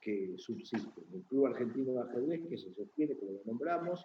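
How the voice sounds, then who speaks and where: Lively intonation marks this man's medium-pitched voice as he talks at a moderate pace. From Argentina. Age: 60s. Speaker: chess journalist. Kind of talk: interview.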